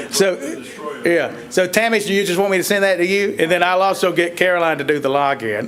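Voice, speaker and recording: Through noticeable background noise, a man with a strong Southern accent talks very fast with lively intonation. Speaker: economic development consultant. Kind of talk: public meeting discussion. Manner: casual, folksy.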